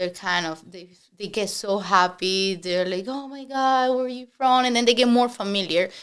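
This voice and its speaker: Spoken at a moderate pace in a strong Spanish accent, the voice shows big swings in loudness and ordinary pitch variation. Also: woman, medium pitch for a woman. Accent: heavy Spanish. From Spanish-speaking country. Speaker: real estate agent. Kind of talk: podcast interview.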